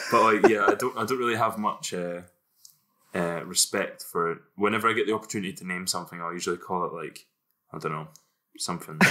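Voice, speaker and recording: Speaking in a Scottish accent, a man goes at a very fast pace. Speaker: podcast co-host. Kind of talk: casual chat.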